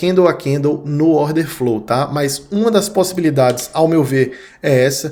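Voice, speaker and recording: In a northeastern Brazilian accent, a man speaks fairly slowly at a fairly high pitch with lively intonation. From Brazilian Northeast. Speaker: crypto trading analyst. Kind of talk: market analysis video. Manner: casual, conversational.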